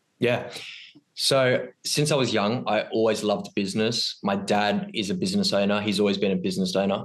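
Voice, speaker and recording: A man's fairly low-pitched, normal speaking voice with lively intonation and very even loudness. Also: fairly quick pace. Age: 20s. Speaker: ecommerce entrepreneur. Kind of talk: podcast interview. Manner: many filler ums.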